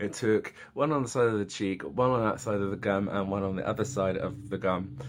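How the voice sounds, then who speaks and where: A man talks with an English accent. His pitch sits fairly low. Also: ordinary pitch variation, fairly quick pace. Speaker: vlogger. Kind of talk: casual vlog. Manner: animated.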